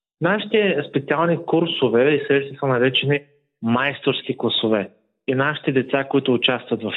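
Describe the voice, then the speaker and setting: At a moderate pace, a man talks in a plain, everyday voice of medium pitch with ordinary pitch variation. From Bulgaria, Burgas. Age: 20s. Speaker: history teacher. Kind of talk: interview.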